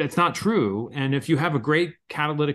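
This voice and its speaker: A man with an American accent, a normal speaking voice, a fairly high pitch, ordinary pitch variation and a moderate pace. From Pennsylvania, Philadelphia area. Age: 40s. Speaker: chemistry professor. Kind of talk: casual interview.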